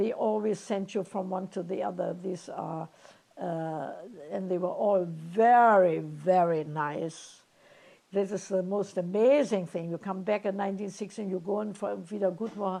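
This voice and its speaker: A woman speaks with a dark, mellow tone. Her intonation stays fairly even. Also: medium pitch for a woman, moderate pace. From Germany. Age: 90s. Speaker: Holocaust refugee interviewee. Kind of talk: oral history interview. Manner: halting.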